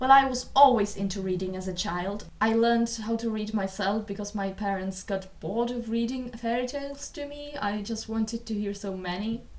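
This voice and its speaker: A woman with a non-native accent talks at a moderate pace with hardly any pauses, her fairly high pitch showing ordinary variation over noticeable background noise. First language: not English. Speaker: booktuber and theatre vlogger. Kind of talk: casual vlog talk to camera. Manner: somewhat halting, non-fluent English.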